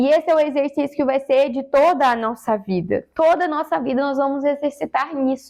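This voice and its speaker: A woman with a high pitch and ordinary pitch variation talks fairly quickly, hardly pausing. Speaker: preacher. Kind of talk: sermon.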